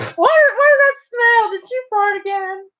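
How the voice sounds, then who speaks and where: Putting on a squeaky character voice, a woman talks fairly slowly at an extremely high pitch. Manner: disgusted, accusing.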